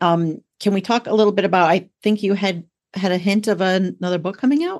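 Her tone is warm and enthusiastic. The woman speaks at a medium pitch with ordinary pitch variation. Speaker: podcast host. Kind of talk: casual chat.

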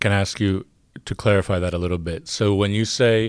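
A normal speaking voice with an American accent. The recording is very clean, with a silent background. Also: man. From United States. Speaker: academic podcast host. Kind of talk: podcast discussion.

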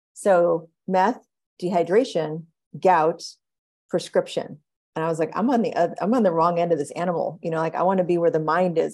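A woman speaks in a normal speaking voice, pitched fairly low, with an American accent. Her pace is moderate. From US, Oklahoma. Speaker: physician and behavior scientist. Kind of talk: interview conversation.

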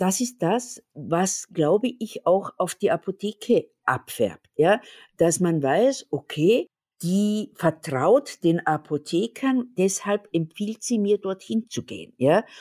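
A woman with an Austrian accent speaks very slowly with lively intonation, in a dry, close sound with no echo on a very clean recording with a silent background. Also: medium pitch for a woman. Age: 60s. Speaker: pharmacist and company owner. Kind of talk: interview.

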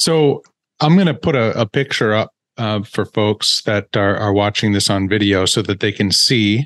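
Against a quiet background, a man with a normal speaking voice and a fairly low pitch talks at a moderate pace with ordinary pitch variation, the sound dry and close with no echo. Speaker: podcast host. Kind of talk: interview.

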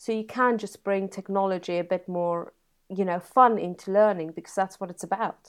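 Speaking in a South African accent, a woman holds a medium pitch in a flat monotone. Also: quiet background. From South Africa (Free State). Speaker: computer science teacher. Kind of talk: interview.

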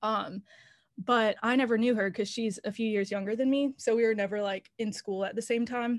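A normal speaking voice from a woman with an American accent, fairly high-pitched and fairly even in intonation, at a moderate pace, dry and close with no echo over a quiet background. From North Carolina, Raleigh. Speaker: songwriter. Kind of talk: casual interview.

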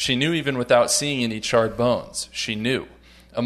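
Someone reads in a natural reading voice.

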